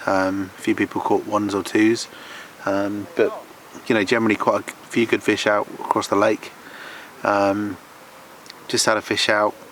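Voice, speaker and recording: Speaking at a moderate pace with long, frequent pauses, a man keeps his loudness very even over noticeable background noise. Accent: southern English. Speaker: carp fishing vlogger. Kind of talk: casual vlog commentary. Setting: outdoors by a lake. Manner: quiet, hushed.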